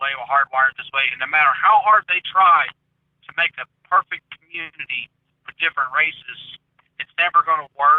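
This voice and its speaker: A man with a Southern accent and a fairly high pitch, long frequent pauses and big swings in loudness. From US South. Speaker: conspiracy theory commentator. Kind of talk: casual chat.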